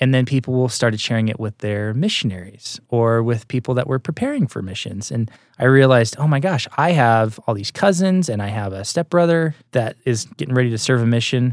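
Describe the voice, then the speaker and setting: A man talks at a fairly quick pace in an unremarkable speaking voice, medium in pitch, with lively intonation. The recording is very clean, with a silent background. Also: dry, close sound with no echo. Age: 30s. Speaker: TV and film producer. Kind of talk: interview.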